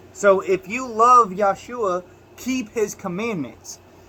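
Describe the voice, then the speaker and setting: Speaking at a fairly slow pace, a man uses a raised, projected voice. His pitch is high, with ordinary pitch variation. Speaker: religious video teacher. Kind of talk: bible teaching monologue. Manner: halting.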